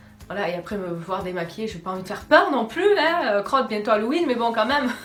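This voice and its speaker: A woman's fairly high voice with very wide pitch swings and big jumps in loudness, amid audible room echo and noticeable background noise. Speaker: YouTuber doing shopping hauls. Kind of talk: casual haul video talk to camera. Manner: fast; hesitant, many fillers.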